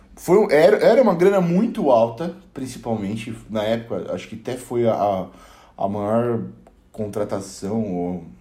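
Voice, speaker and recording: This man has a dark, mellow tone at medium pitch, speaking at a moderate pace. His pitch varies in an ordinary way, and audible room echo surrounds him. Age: 20s. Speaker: podcast panelist, photographer. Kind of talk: casual chat.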